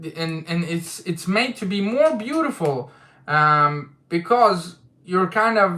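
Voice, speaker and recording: A man with a non-native accent, a bright, sharp tone, very wide pitch swings and a very slow pace. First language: not English. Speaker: manga discussion youtuber. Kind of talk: livestream chat. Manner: casual, hesitant with fillers.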